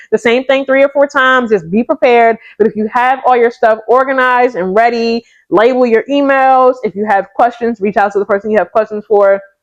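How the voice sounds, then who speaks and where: Loud and animated, a woman speaks. Her pitch is high. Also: hardly any pauses. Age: 30s. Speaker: nurse practitioner and lifestyle vlogger. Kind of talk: casual talk to camera.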